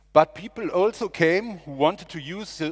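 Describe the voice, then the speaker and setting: This man talks at a fairly slow pace. He has a German accent. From Germany. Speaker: district mayor. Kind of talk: speech. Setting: stage with audience. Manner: halting.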